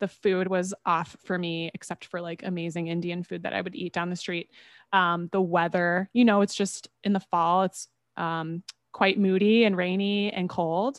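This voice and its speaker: Someone with an American accent talks at a moderate pace in a normal speaking voice, with fairly even intonation. The sound is dry and close with no echo, over a quiet background. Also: woman, medium pitch for a woman. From US Midwest. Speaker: holistic health podcaster. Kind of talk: casual interview.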